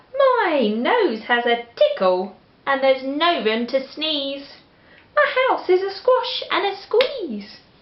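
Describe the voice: A woman puts on a character voice in an English accent, high-pitched and slow, with big pitch swings and audible room echo.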